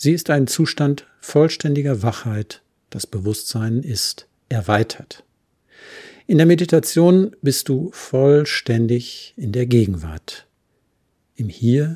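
A man speaks at a very slow pace and a medium pitch, his voice somewhat breathy. The tone is calm and soothing, with lively intonation. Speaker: podcast host and therapist. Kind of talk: guided meditation. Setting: solo home studio recording. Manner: calm, slow and soothing.

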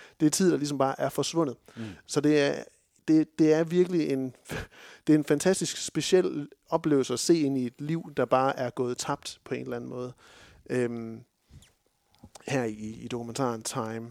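A man's medium-pitched voice, dark and mellow with ordinary pitch variation, comes with long, frequent pauses in a dry, close sound with no echo on a very clean recording with a silent background. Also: moderate pace. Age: 30s. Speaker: film podcast host. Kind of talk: casual chat.

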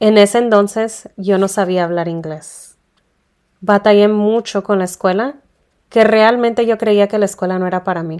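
An unremarkable speaking voice, medium in pitch for a woman, holds fairly even intonation at a moderate pace. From Tijuana, Mexico. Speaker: podcast host. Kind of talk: personal storytelling.

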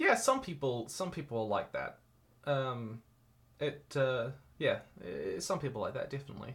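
A man with a New Zealand accent speaks at a moderate pace, leaving long, frequent pauses. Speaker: YouTuber and author. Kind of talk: casual interview. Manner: halting, many repeated words.

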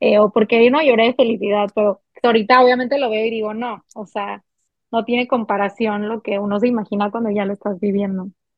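An unremarkable speaking voice, fairly quick, with fairly even intonation. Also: woman, fairly high pitch for a woman. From Mexico, Monterrey, Nuevo León. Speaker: recently married bride sharing wedding experience. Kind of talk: casual chat.

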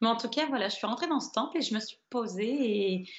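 Her intonation lively, a woman speaks. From northern France, Nord. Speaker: long-distance walker and traveller. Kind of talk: interview. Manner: halting, many hesitations.

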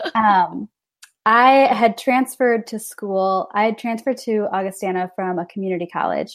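Speaking with a Midwestern American accent, a woman keeps a moderate pace, a fairly high pitch and ordinary pitch variation. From rural northern Illinois. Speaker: ministry event manager. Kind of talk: casual interview chat. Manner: hesitant, many fillers.

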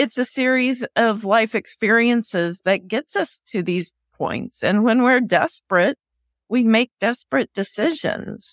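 In an unremarkable speaking voice, a woman talks fairly slowly at a fairly high pitch with ordinary pitch variation, the recording very clean, dry and close with no echo and a silent background. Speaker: podcast host. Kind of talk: interview, friendly.

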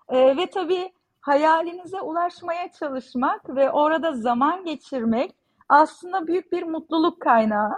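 Intonation rises and falls in a lively way while the pace stays fairly slow. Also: woman. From Mersin, southern Turkey. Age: 40s. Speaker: visual artist. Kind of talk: interview conversation.

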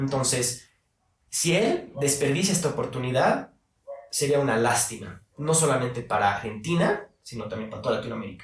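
A man speaks in a plain, everyday voice at medium pitch. His moderate pace carries lively intonation. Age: 20s. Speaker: university student and political commentator. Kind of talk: casual interview.

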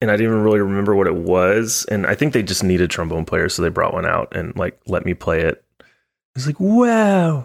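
A man with a slight Southern accent speaks at a fairly quick pace. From Texas, Dallas area. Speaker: trombonist. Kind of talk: casual interview. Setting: video call. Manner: calm.

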